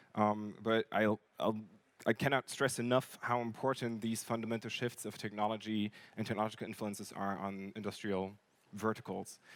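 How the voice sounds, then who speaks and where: This man's voice sits fairly low in pitch. His intonation is monotone and flat. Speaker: company marketing director giving a talk. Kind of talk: conference lecture. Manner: fast.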